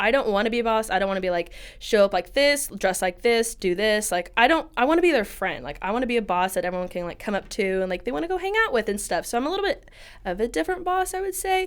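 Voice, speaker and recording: Loud and bubbly, a woman speaks at a very fast pace with a fairly high pitch. Her pitch swings are very wide. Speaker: hair salon owner. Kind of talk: interview. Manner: loud, bubbly.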